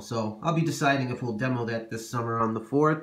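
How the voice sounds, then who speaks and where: A man at a moderate pace with lively intonation, against a quiet background. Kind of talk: casual show-and-tell narration. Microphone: phone near.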